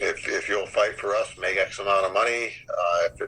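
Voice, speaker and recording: Here a man speaks at a fairly quick pace. Noticeable background noise runs underneath. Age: 60s. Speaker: martial artist and former MMA fighter. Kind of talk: interview. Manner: halting, many repetitions and fillers.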